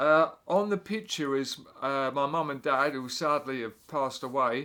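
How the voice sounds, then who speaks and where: With an English accent, a man speaks at a moderate pace in a fairly high, bright, sharp voice with lively intonation, on a very clean recording with a silent background. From England. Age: 60s. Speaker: drummer and music teacher. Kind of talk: casual explainer monologue. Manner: halting, many fillers.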